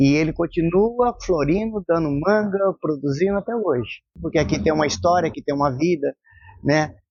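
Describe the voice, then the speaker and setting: Lively intonation marks this man's high voice. He keeps a moderate pace. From Brazil, Londrina (Paraná). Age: 60s. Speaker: local resident. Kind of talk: interview testimony.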